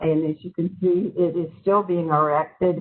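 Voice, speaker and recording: A woman with a slight Southern US accent talks at a fairly low pitch, keeping her intonation fairly even. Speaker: transit project representative. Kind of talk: presentation at online public meeting.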